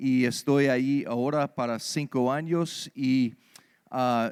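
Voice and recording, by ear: A man with an American accent speaks slowly, his intonation fairly even and his tone clear, smooth and slightly mellow. The recording is very clean, with a silent background. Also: medium pitch for a man.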